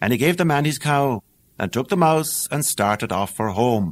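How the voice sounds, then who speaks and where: On a very clean recording with a silent background, a man with an Irish accent speaks at a moderate pace with lively intonation. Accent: Irish brogue. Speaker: actor. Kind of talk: audiobook fairy tale reading.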